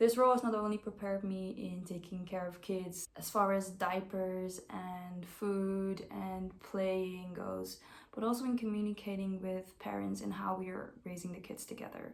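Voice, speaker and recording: Monotone, flat delivery in a Dutch accent at a moderate pace, with hardly any pauses and audible room echo. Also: woman, medium pitch for a woman. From Netherlands (Amersfoort). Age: 20s. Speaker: au pair applicant. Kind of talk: self-introduction video.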